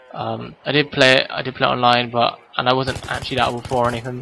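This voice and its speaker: A man speaks at a fairly quick pace in a medium pitch. There is noticeable background noise. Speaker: gaming youtuber. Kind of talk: gameplay commentary. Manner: fast; hesitant, many ums.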